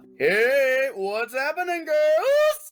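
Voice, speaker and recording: A put-on character voice carries the clip. Music plays in the background. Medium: read story. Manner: gruff, snorting.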